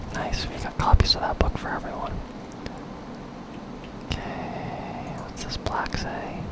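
Long, frequent pauses break up the fairly slow speech, heard over loud background noise. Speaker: ASMR gaming content creator. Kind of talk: ASMR gaming commentary, whispered and soft-spoken. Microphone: studio mic.

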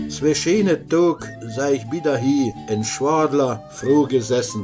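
Very slow speech from a man with a fairly high pitch and ordinary pitch variation, music in the background. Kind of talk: dialect poetry reading.

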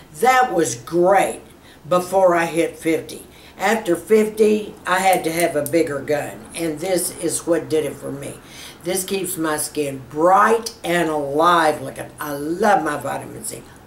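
At a very slow pace, the voice shows big swings in loudness and ordinary pitch variation, with light background noise and audible room echo. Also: woman, fairly low pitch for a woman. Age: 70s. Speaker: beauty YouTuber. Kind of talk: tutorial. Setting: studio. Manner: animated. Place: home room.

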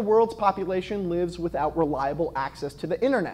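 Very wide pitch swings in a male voice. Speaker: comedy segment host. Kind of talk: comedic news monologue. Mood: wry, playful. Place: studio. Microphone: lapel.

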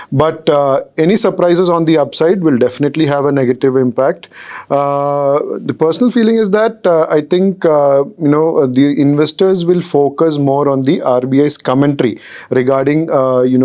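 At a moderate pace, the voice keeps very even loudness and ordinary pitch variation against a quiet background. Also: man. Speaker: market analyst. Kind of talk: interview answer. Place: studio. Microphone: lapel.

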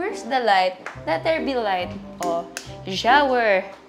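A woman speaking very slowly, clear music in the background. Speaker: vlogger. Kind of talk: casual vlog chat. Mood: playful, amused complaining. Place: home room. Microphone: lapel.

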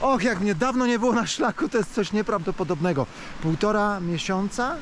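Very wide pitch swings in a man's voice, with music in the background. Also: dry sound with no echo. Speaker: travel vlogger. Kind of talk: casual vlog chat. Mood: happy, moved. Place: forest. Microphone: phone near.

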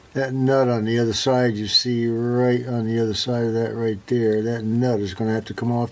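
A man's intonation stays monotone and flat. He moves along at a fairly quick pace. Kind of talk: tutorial. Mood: cheerful, relaxed. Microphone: phone near.

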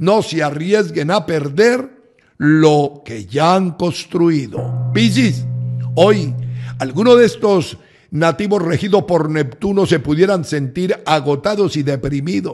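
A man with a fairly high voice talks at a very slow pace. His intonation is lively. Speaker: astrologer. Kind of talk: scripted horoscope reading. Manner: warm, formal address to audience.

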